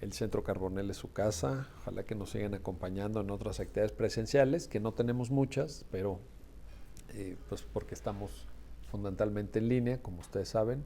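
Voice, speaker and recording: A man talks at a fairly low pitch with a dark, mellow tone and a somewhat breathy quality. His pace is fairly quick, and his pitch varies in an ordinary way. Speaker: law school founder and event host. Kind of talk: book presentation closing remarks.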